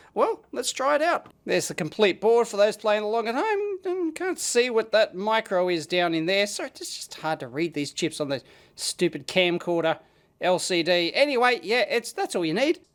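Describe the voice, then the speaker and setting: Very wide pitch swings at a moderate pace. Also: man, high pitch for a man. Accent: Australian. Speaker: electronics video blogger. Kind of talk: casual product demo. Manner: animated.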